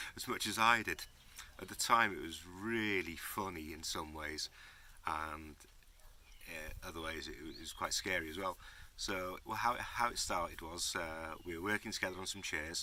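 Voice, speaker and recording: A man speaks in a very deep, low voice, leaving long, frequent pauses. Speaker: YouTuber. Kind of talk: casual vlog talk. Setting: workshop shed. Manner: slow.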